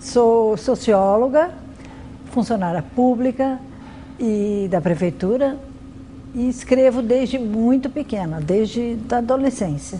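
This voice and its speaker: A woman with lively intonation at a very slow pace, long, frequent pauses, and noticeable background noise. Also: fairly high pitch for a woman. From Brazil, São Paulo city. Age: 60s. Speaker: writer. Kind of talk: interview testimony.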